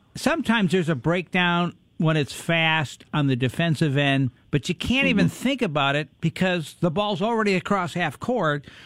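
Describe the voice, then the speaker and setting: The speech moves at a moderate pace with lively intonation, very even loudness, and hardly any pauses. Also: man. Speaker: radio co-host. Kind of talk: casual sports radio chat.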